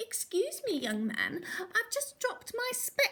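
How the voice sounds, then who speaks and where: A woman's squeaky put-on character voice, extremely high-pitched, with lively intonation and a fairly slow pace. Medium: read story. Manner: gentle, polite.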